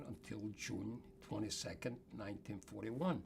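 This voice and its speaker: A fairly low-pitched man at a moderate pace over noticeable background noise. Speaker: Holocaust survivor. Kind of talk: interview answer.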